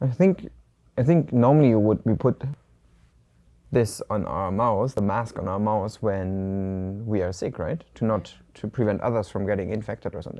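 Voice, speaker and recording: With a slight German accent, a man speaks at a moderate pace in a dark, mellow tone, his fairly low pitch varying in an ordinary way against a quiet background. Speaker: Chinese language video co-host. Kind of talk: language lesson dialogue. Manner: casual, conversational with hesitations.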